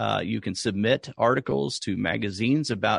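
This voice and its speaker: A man speaks at a moderate pace in a fairly low voice with very wide pitch swings and vocal fry, recorded dry and close with no echo against a quiet background. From US South, rural Oklahoma. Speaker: artist and art podcast host. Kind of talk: interview conversation.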